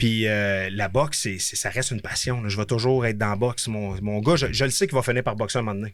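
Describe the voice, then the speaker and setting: A man speaks at a very fast pace with hardly any pauses. His pitch is fairly low. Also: fairly even intonation. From Quebec, Gatineau. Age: 30s. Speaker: boxer. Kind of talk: casual chat.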